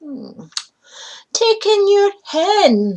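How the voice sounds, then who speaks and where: The pitch sits extremely high. The speaker is putting on a character voice. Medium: read story.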